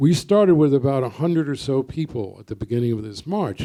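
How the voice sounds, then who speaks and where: In a New York accent, a man talks at a fairly quick pace with a fairly high pitch, a dark, mellow tone and ordinary pitch variation. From US Northeast, Brooklyn, New York. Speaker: poet. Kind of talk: panel discussion.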